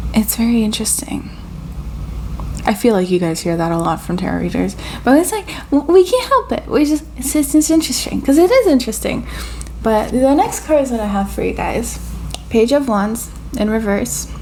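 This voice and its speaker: A woman at a moderate pace with long, frequent pauses over noticeable background noise. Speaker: tarot reader. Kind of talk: channeled tarot reading. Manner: casual, filler-heavy; halting, stuttering.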